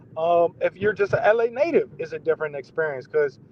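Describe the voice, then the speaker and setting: Speaking at a moderate pace, a man talks with a DMV accent. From Maryland, DMV area. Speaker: entrepreneur, artist. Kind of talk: casual interview chat. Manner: halting, many fillers.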